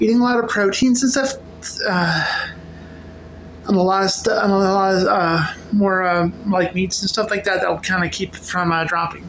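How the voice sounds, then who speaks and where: A woman speaks with a medium pitch and very even loudness. Audible room echo surrounds her voice. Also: ordinary pitch variation, moderate pace. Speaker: vlogger. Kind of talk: casual vlog monologue. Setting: at home cooking. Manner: halting; slurred at times.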